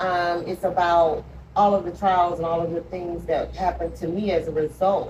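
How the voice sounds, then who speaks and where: Someone with an American accent speaks at a moderate pace amid noticeable background noise. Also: woman. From US South, Georgia. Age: 50s. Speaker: author. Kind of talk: interview testimony. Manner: halting, many 'um' fillers.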